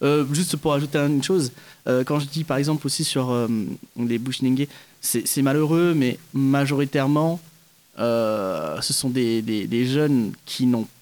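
A man's medium-pitched voice at a very slow pace, broken by long, frequent pauses. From French Guiana (Kourou). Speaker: stage actor. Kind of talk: interview.

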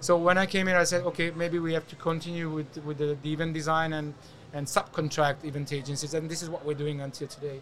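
A man with a Hungarian accent talks at a very fast pace. His pitch is fairly high and his intonation monotone and flat. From Hungary. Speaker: event agency founder. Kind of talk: casual interview. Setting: event show studio booth.

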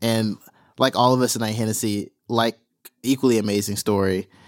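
A man speaks at a medium pitch. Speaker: podcast host. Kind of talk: interview. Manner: casual, friendly.

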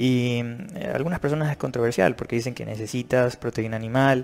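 With a normal speaking voice, a man of medium pitch talks at a fairly quick pace with ordinary pitch variation. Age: 30s. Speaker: fitness and nutrition youtuber. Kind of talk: video commentary.

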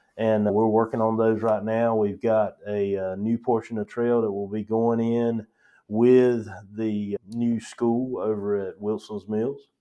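A man with a Southern US accent speaks in a monotone, flat intonation. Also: medium pitch for a man, fairly slow pace. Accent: Southern US, noticeable. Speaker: county parks director. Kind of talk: casual interview.

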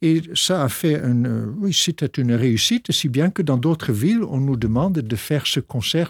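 In a very clean recording with a silent background and a dry, close sound free of echo, a man speaks at a fairly slow pace, somewhat breathy, with lively intonation. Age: 60s. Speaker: pastor and organist. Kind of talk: radio interview.

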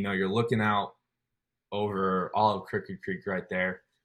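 On a very clean recording with a silent background, a man with an ordinary speaking voice talks at a moderate pace and fairly low pitch. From Colorado. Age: 20s. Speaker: army special forces trainee. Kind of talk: casual interview.

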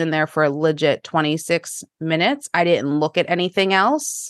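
A woman with a normal speaking voice talks at a fairly slow pace and a fairly low pitch, with ordinary pitch variation. The background is quiet. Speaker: podcast host. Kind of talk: casual chat.

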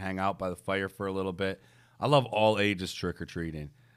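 A man with an American accent speaks in a normal speaking voice, fairly low in pitch and fairly even in intonation. His pace is fairly quick, and the recording is very clean with a silent background. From US Midwest (Detroit). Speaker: podcast co-host. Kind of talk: casual chat.

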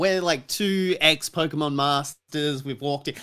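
A man talks with lively intonation at a moderate pace. His tone is bright and sharp. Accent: Australian. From Australia. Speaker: podcast guest. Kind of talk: casual chat. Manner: animated.

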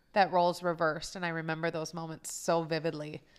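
This woman has an unremarkable speaking voice, fairly low in pitch. She talks at a fairly quick pace. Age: 30s. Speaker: podcast co-host, mother. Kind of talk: casual chat.

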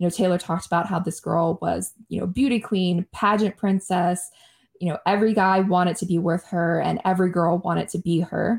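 A woman's fairly low, fairly even voice with vocal fry at a fairly quick pace, in a very clean recording with a silent background. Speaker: podcast host. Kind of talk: casual chat.

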